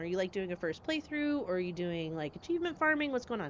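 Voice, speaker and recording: A woman talks very fast with an American accent, her pitch swinging very widely. Background noise is noticeable. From US Upper Midwest (Minnesota/Dakotas). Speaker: video game streamer. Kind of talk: casual chat. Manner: animated.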